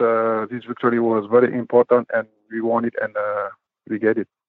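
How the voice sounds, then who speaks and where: A man's medium-pitched voice, monotone and flat, at a moderate pace. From Senegal, grew up in Dakar. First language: French or Wolof. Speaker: professional basketball player. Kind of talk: interview. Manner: halting, many fillers.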